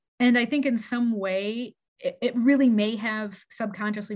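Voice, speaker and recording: In an unremarkable speaking voice, a woman talks at a fairly slow pace, her fairly high pitch held in fairly even intonation. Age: 40s. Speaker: childhood friend of the host. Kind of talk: casual chat.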